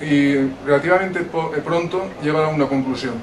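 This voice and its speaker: Over noticeable background noise and audible room echo, a man speaks at a moderate pace. His voice is fairly high, with fairly even intonation. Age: 50s. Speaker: audience member at book presentation. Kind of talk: audience question, public discussion.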